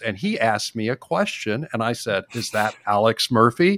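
A man with an American accent, a normal speaking voice, at a medium pitch and moderate pace, with ordinary pitch variation, in a dry, close sound with no echo. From Texas. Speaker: podcast host. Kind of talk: casual chat.

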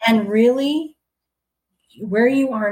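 At a fairly slow pace, a woman talks in a fairly high, somewhat breathy voice. The recording is very clean, with a silent background. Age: 50s. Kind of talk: interview.

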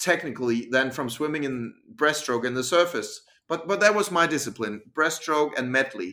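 A man's fairly high, bright and sharp voice in a Danish accent at a moderate pace. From Denmark. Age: 40s. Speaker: freediver and breathing coach. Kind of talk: interview. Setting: video call.

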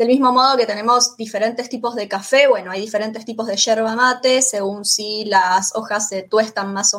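A woman speaks at a moderate pace in a normal speaking voice, her pitch fairly high and her intonation fairly even. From Argentina, Rosario (Santa Fe). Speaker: Spanish teacher. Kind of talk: interview.

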